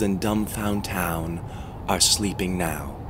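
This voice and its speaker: A man's fairly low voice comes through with noticeable background noise. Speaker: actor. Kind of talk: poetry reading.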